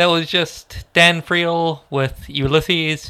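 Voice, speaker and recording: A man speaks in a deadpan tone. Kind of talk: radio DJ patter: station IDs, track announcements and sign-off between songs. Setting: radio studio. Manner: casual, laid-back, deadpan, with a wry joking tone; brisk, formulaic and repetitive announcing of tracks.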